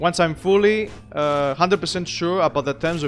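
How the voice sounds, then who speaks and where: A man talks while music plays in the background. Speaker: game streamer. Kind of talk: live gameplay commentary. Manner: halting, with fillers.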